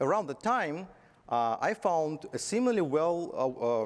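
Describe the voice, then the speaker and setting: Very wide pitch swings mark this man's speech in a Belarusian accent. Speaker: tech conference speaker, software company executive. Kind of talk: conference talk. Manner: halting, with fillers.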